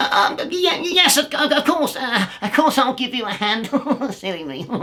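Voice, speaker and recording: A man performs a put-on character voice at an extremely high pitch. He keeps a moderate pace while his pitch swings very widely. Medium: read story. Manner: grumbling, stammering.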